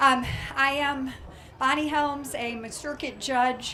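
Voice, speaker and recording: A woman speaks loudly. Audible room echo and noticeable background noise come through. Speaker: judge and candidate. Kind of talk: campaign speech. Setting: stage with audience.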